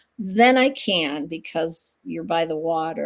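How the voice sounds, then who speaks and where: Very clean, silent-backed audio of a woman with an American accent. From US Midwest, Dubuque, Iowa. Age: 60s. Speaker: massage therapist and psychic medium. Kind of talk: interview. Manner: casual, hesitant with fillers.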